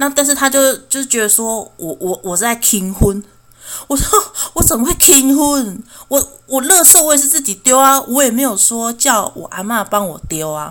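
In a Taiwanese accent, a woman speaks at a moderate pace with a high pitch and very wide pitch swings. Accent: Taiwanese Mandarin. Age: 30s. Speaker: podcast host. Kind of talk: personal monologue podcast. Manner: halting, frequent stammering.

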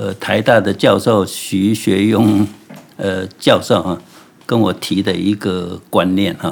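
A man's very slow speech with vocal fry. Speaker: ceramic artist. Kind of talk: interview. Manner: hesitant, many fillers.

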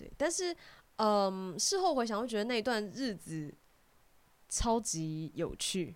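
Long, frequent pauses break up the speech at a very slow pace. The pitch swings very widely. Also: woman, fairly high pitch for a woman. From Taiwan, Keelung. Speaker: voice actor. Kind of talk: casual interview chat.

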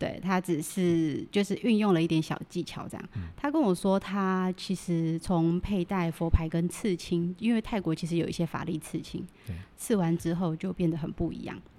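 An ordinary speaking voice from a woman, fairly low in pitch, at a moderate pace with hardly any pauses. Her intonation stays fairly even on a very clean recording with a silent background. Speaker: Thai amulet dealer. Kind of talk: casual interview chat.

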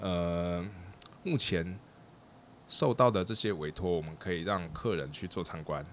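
This man has a very deep, low pitch with ordinary pitch variation. He talks at a fairly slow pace, with long, frequent pauses. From Taiwan. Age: 40s. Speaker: architect and treehouse builder. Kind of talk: interview.

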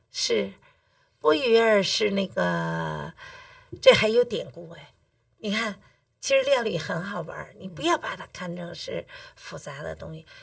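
A woman with a Beijing accent speaks at a fairly slow pace with long, frequent pauses and big swings in loudness, in a very clean recording with a silent background. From Beijing, China. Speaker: cooking teacher. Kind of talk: casual interview chat.

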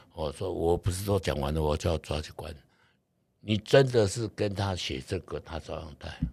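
A man speaks at a moderate pace in a very deep, low voice that is somewhat breathy, with ordinary pitch variation. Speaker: real estate investor. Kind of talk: interview.

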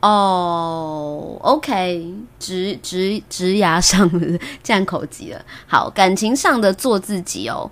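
A woman speaks at a very slow pace in a medium pitch, with lively intonation and big swings in loudness. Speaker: podcast host. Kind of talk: casual chat. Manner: frequent laughter.

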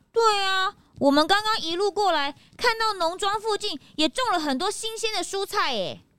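A woman's put-on character voice, extremely high in pitch, bright and sharp in tone, with lively intonation. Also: moderate pace.

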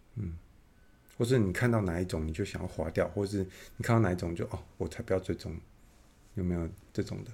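A man's very deep, low, somewhat breathy voice with a dark, mellow tone, ordinary pitch variation, a very fast pace and long, frequent pauses. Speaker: podcast host. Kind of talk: casual interview. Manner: halting, many fillers.

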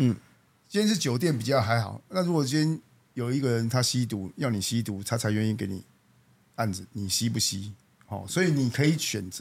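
An unremarkable speaking voice from a man, medium-pitched with lively intonation, at a fairly quick pace. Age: 40s. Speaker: company general manager. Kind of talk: casual interview.

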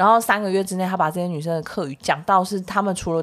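A woman's fairly low voice at a very fast pace. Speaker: podcast co-host, musical theatre performer. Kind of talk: casual chat.

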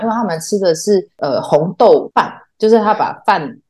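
A woman at medium pitch, speaking at a fairly quick pace. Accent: Taiwanese. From Taiwan. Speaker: theatre artist. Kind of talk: casual chat.

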